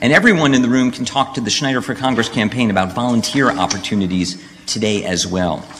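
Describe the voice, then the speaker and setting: Through audible room echo and noticeable background noise, a man talks at a fairly quick pace. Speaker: professor, event moderator. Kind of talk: event hosting. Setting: college hall with audience.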